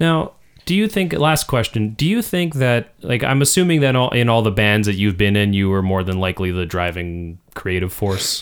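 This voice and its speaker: With an ordinary speaking voice, a man of fairly low pitch talks at a moderate pace with lively intonation, hardly any pauses and very even loudness, in a very clean recording with a silent background. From Canadian Prairies. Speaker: podcast co-host and songwriter. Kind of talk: casual chat. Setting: studio.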